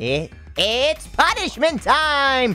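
Someone uses a put-on character voice with a high pitch while clear music plays in the background. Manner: gleeful, menacing.

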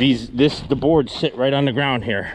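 Someone speaks at a moderate pace in a dry sound with no echo, with light background noise. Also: man. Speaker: excavation contractor. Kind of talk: tutorial commentary. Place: open country. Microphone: phone near.

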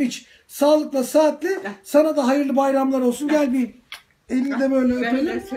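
Light background noise sits behind this man. His pitch is extremely high. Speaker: clinical psychologist. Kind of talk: casual talk to camera. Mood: warm, cheerful. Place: home room. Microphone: phone near.

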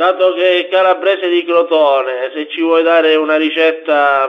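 A man's fairly high voice at a moderate pace, fairly even intonation, a normal speaking voice. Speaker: radio interviewer. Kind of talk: radio interview.

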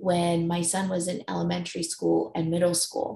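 A somewhat breathy woman's voice over light background noise, with audible room echo. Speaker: conference presenter. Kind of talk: presentation talk. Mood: warm, personal storytelling. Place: home room. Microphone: webcam.

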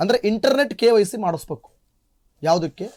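On a very clean, dry, close recording with a silent background and no echo, a man speaks in a high voice with an animated tone and very wide pitch swings. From Chikkamagaluru, Malnad region, Karnataka. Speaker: news anchor. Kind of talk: news discussion.

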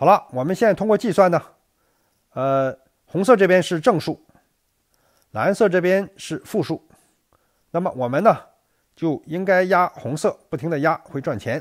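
Recorded dry and close with no echo against a silent background on a very clean recording, a man with a high voice speaks at a moderate pace with lively intonation and long, frequent pauses. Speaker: gambling strategy youtuber. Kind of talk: tutorial. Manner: loud, straining voice; frequent fillers, halting. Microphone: mic held very close to mouth.

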